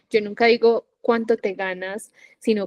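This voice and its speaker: A woman with a Medellín accent, fairly high pitch and monotone, flat intonation, in a dry, close sound with no echo. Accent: Colombian Paisa (Medellín) Spanish. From Colombia, Medellín. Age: 20s. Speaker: digital entrepreneur, affiliate marketer. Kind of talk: podcast interview.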